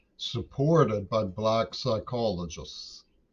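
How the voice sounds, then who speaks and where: A man talks at a very slow pace. His pitch sits fairly low. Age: 60s. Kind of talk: casual political commentary monologue. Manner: hesitant, with frequent fillers.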